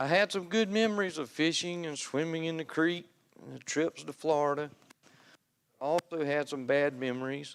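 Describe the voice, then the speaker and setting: A man's fairly high voice in a Southern US accent, with ordinary pitch variation. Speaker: lay speaker giving testimony at church. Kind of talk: testimony. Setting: church pulpit.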